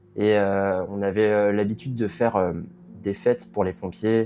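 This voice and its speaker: A man speaks at a fairly low pitch. His intonation is fairly even and his pace fairly slow. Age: 20s. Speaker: documentary subject. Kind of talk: interview testimony. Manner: halting.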